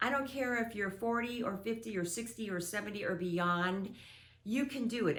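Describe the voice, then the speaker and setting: An unremarkable speaking voice from a woman, fairly high-pitched, with lively intonation. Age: 60s. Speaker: author. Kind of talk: casual talk to camera.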